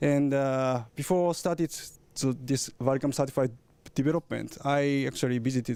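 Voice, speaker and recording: A man's medium-pitched voice with a dark, mellow tone and a Japanese accent, at a moderate pace. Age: 30s. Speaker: camera engineer. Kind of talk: product presentation. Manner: halting.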